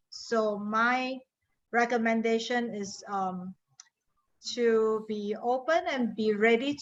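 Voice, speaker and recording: Spoken at a very slow pace in an American accent, the voice holds a fairly even intonation. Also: woman. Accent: Singaporean, noted by US colleagues. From Singapore. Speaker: industry consultant, guest speaker. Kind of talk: panel discussion for a class.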